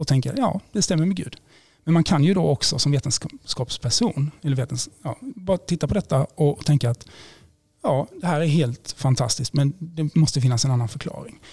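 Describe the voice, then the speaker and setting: Somewhat breathy and dark, mellow in tone, a man speaks at a moderate pace in a fairly high pitch with lively intonation. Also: dry, close sound with no echo. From Sweden, Blekinge. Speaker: priest and theology lecturer. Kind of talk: interview, explaining faith arguments.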